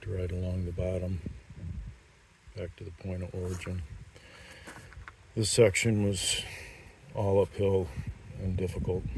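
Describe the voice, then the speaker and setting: Very deep and low, a man's monotone, flat voice moves at a moderate pace with long, frequent pauses and big swings in loudness, over noticeable background noise. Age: 60s. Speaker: mountain biker. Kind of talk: trail review talk. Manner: casual with fillers.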